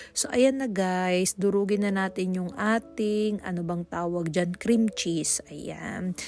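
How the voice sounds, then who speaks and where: A woman talks at a very slow pace with hardly any pauses. Her medium-pitched voice has fairly even intonation. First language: Pangasinan (speaking Tagalog). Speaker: cooking vlogger. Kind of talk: cooking tutorial voice-over. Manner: halting.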